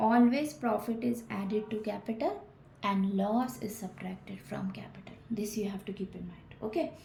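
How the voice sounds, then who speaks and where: With noticeable background noise and audible room echo around her, a woman talks at a fairly high pitch, her pitch varying in an ordinary way. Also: moderate pace. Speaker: accountancy teacher. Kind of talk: lecture.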